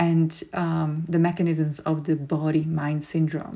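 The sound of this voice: A woman speaks at a fairly slow pace. Her voice is low, dark and mellow.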